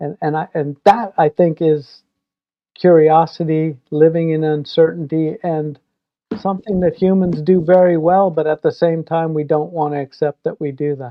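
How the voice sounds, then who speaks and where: A plain, everyday voice from a man, fairly high-pitched, with fairly even intonation at a moderate pace. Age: 60s. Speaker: filmmaker. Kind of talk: casual chat.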